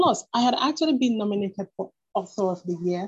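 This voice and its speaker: A woman talks at a moderate pace in a dark, mellow tone. Her voice is somewhat breathy. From Nigeria. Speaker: fiction writer and blogger. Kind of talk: interview.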